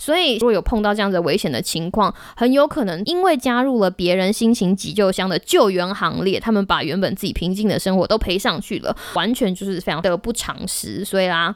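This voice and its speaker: Her tone animated and her intonation lively, a woman talks at a fairly quick pace with hardly any pauses. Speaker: podcast host. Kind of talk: casual solo podcast talk.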